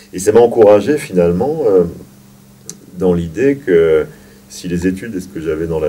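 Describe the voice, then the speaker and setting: The man speaks at a fairly slow pace. Noticeable background noise runs under his voice. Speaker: actor and drama teacher. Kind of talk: interview. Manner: halting.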